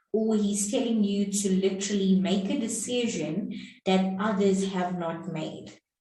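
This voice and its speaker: A woman's medium-pitched voice at a fairly slow pace, with ordinary pitch variation and audible room echo. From South Africa. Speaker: English teacher. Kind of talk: tutorial. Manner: clear and deliberate.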